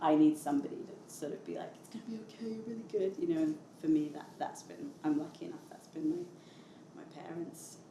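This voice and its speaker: A woman with a British accent, fairly low pitch and lively intonation, at a fairly quick pace with hardly any pauses and big swings in loudness. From London. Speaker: singer-songwriter. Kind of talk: interview answer.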